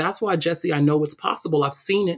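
A woman with a New York accent speaks at a very deep, low pitch with ordinary pitch variation. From Brooklyn, New York City. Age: 30s. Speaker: diversity and equity consultant. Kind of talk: interview.

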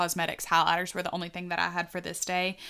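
A woman talks at a medium pitch in a bright, sharp tone with a slight Southern US accent. The recording is very clean, with a silent background. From US South. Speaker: podcast co-host. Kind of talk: casual chat.

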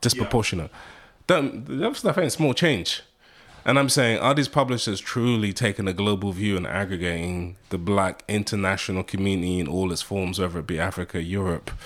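A man's fairly low voice with a British accent, fairly quick in pace, with ordinary pitch variation. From UK. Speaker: media executive and marketing professor. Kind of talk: interview. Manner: animated.

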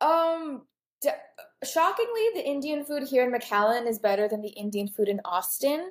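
A woman with an unremarkable speaking voice delivers her words at a moderate speed, her pitch varying in an ordinary way, on a very clean recording over total silence. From Texas. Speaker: podcast host, pastor's daughter. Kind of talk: casual interview.

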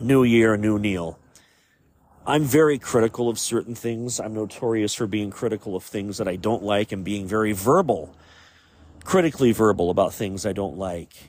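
Here a man talks at a moderate pace in a normal speaking voice. His pitch is fairly low, with ordinary variation. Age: 40s. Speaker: podcast host. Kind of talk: solo podcast monologue.

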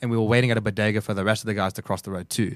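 Recorded very cleanly with a silent background and a dry, close sound with no echo, a man with an Australian accent talks at a very fast pace and a medium pitch, with fairly even intonation. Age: 30s. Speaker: hardcore band member. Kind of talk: casual chat.

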